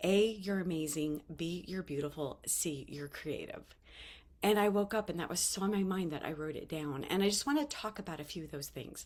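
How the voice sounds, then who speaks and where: A woman speaks in an ordinary speaking voice at a medium pitch. Her intonation is lively and her pace fairly quick. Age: 50s. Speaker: vlogger sharing life lessons. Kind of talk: casual motivational talk to camera.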